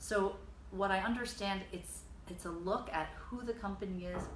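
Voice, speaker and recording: A woman with an American accent speaks at a fairly low pitch. Noticeable background noise and audible room echo surround her voice. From US, Dutch parents. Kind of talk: interview. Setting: her studio. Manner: hesitant, many fillers.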